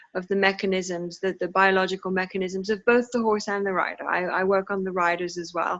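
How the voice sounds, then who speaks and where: A woman at a fairly quick pace, hardly any pauses, monotone and flat in intonation. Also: medium pitch for a woman. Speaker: equine locomotion therapist. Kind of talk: video call discussion. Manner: hesitant, many fillers.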